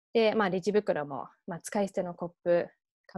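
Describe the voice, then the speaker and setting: Over a quiet background, a woman talks with an English accent, the sound dry with no echo. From England. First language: English (speaking Japanese). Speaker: nonprofit founder; guest lecturer. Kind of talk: online lecture.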